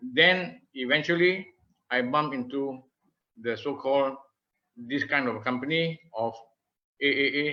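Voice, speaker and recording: At a fairly slow pace, a man with a Malaysian accent speaks with ordinary pitch variation. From Malaysia, Malacca. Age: 70s. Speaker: retired marketing professional. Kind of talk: presentation.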